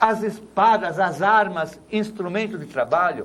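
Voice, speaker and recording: Here a man speaks at a very slow pace. His voice is high in pitch, with ordinary variation. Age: 70s. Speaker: priest. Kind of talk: tv talk show debate.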